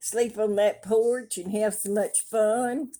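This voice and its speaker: A woman with a Southern US accent at a very slow pace, fairly high in pitch with ordinary variation, her tone dark and mellow. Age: 70s. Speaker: craft vlogger. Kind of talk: casual chat. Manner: animated.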